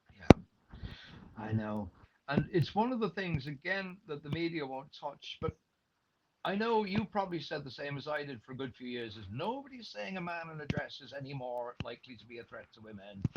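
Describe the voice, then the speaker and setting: Moving at a fairly quick pace, a man with an Irish accent and a fairly high pitch makes very wide pitch swings and big swings in loudness. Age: 60s. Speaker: retired radio journalist. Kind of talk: interview. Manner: animated.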